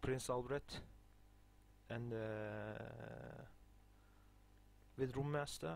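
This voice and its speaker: With audible room echo, a man speaks very slowly at medium pitch and ordinary pitch variation, leaving long, frequent pauses. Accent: non-native. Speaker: video game guide maker. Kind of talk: gameplay tutorial. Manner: halting, many fillers.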